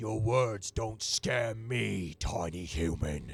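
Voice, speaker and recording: A man's put-on character voice, fairly low in pitch and very slow. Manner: gruff, dismissive.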